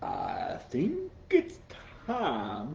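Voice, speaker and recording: The speaker uses a put-on character voice. Background noise is clear. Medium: read story. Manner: showy and confident.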